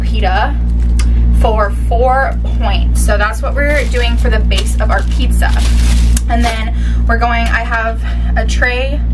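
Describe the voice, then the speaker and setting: Amid loud background noise, a woman talks at a very slow pace with long, frequent pauses. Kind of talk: casual cooking tutorial. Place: kitchen.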